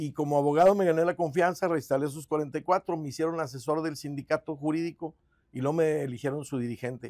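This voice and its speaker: A man talks at a fairly quick pace with a fairly high pitch. His pitch varies in an ordinary way over a quiet background. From Guadalupe, Nuevo León, Mexico; Nuevo León, Mexico. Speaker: mayoral candidate, lawyer; candidate, lawyer. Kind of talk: interview. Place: studio. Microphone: lapel.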